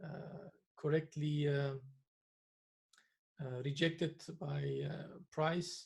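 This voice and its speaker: Speaking with a non-native accent, this voice moves at a very slow pace with long, frequent pauses. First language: not English. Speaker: trading analyst. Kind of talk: tutorial. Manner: hesitant, many filler sounds.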